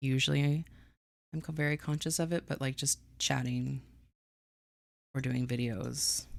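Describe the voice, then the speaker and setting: A soft-spoken woman mumbles at a moderate pace. Her speech has long, frequent pauses. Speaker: streamer writing a book. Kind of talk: casual live stream chat. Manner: quiet, soft-spoken; mumbling.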